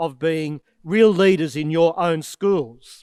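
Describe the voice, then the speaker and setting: Recorded very cleanly against a silent background, with a dry, close sound and no echo, the speaker talks in an Australian accent at a fairly slow pace with ordinary pitch variation. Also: man. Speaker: archbishop. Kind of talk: address to students.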